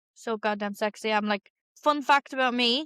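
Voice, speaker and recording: With a Dublin accent, a woman speaks fairly quickly in a high pitch, her tone bright and sharp and her intonation fairly even, in a dry, close sound without echo. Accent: Dublin, noticeable. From Ireland, Dublin (Clondalkin). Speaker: podcast co-host. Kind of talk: casual chat. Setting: at home, apartment.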